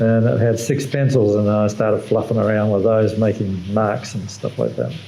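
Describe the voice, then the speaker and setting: A man with an Australian accent, amid noticeable background noise and audible room echo. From Western Australia. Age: 70s. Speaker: artist, retired electrical engineer. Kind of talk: interview. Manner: halting.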